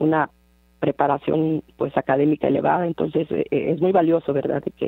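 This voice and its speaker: A woman with a very deep, low voice and a dark, mellow tone speaks at a moderate pace in a dry, close recording with no echo. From Mexico, Monterrey, Nuevo León. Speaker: community organization founder. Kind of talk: radio interview.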